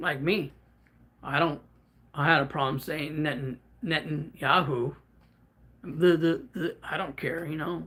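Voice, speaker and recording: A man's fairly high voice has a bright, sharp tone and ordinary pitch variation. He leaves long, frequent pauses. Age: 50s. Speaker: livestreamer. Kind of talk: casual chat. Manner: stuttering at times; unscripted, off the cuff.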